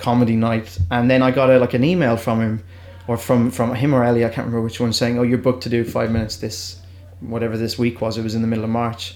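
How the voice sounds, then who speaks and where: Talking at a very fast pace, a man speaks in an Irish accent. His pitch is medium, with fairly even intonation. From Ireland. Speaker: comedian. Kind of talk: casual chat. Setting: studio. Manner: halting.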